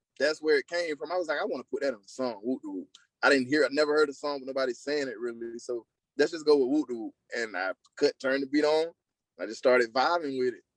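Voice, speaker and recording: A man with an American accent talks at a very fast pace and a fairly high pitch. His pitch variation is ordinary, and the sound is dry and close with no echo. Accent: country twang. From US South, South Carolina. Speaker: singer. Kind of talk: interview.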